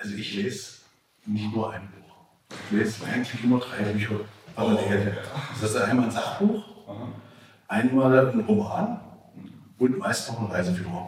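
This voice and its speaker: This man speaks at a fairly slow pace, leaving long, frequent pauses. His intonation is fairly even, and audible room echo surrounds his voice. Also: medium pitch for a man. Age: 50s. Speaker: city official. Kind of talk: interview. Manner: halting. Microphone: poor recording quality, faulty mic.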